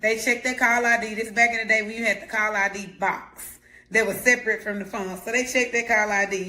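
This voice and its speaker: The speech comes at a fairly quick pace, and noticeable background noise is present. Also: woman, fairly high pitch for a woman. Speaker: life coach. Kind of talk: motivational talk. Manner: loud; animated.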